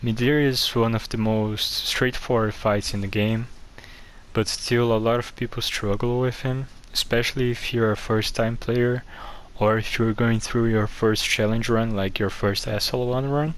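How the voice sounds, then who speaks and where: A man with a Brazilian accent talks at a moderate pace with monotone, flat intonation. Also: medium pitch for a man. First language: Portuguese. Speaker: gaming guide creator. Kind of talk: casual game commentary. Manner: occasional stutters.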